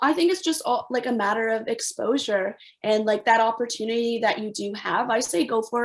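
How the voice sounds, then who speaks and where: In a Canadian accent, a woman with a fairly high pitch and ordinary pitch variation speaks at a moderate pace. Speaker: former professional soccer player. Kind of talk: panel discussion. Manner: hesitant, many fillers.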